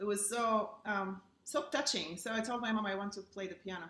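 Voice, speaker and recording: With an Eastern European accent, a woman talks at a moderate pace in a medium-pitched voice. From Bulgaria, Burgas on the seacoast. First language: Bulgarian. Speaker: pianist. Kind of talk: casual chat.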